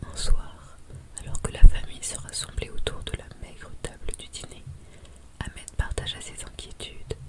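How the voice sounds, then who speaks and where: Whispering in a calm tone at a fairly slow pace, a woman is heard over noticeable background noise. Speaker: French-as-a-foreign-language teacher and ASMR storyteller. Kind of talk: audiobook-style story narration / sleep story. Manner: whispered, soft-spoken, calm.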